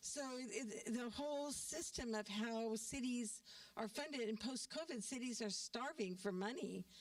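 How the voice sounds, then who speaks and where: The speech moves at a fairly slow pace with ordinary pitch variation and very even loudness, set against noticeable background noise. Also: woman, fairly high pitch for a woman. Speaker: community forum participant. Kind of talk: community forum discussion. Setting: church meeting hall with audience.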